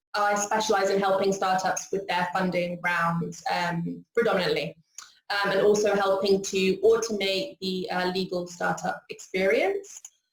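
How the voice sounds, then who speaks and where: A woman talks with a British accent. Her pitch is medium and her pace moderate. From UK. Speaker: corporate lawyer. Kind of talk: casual interview chat.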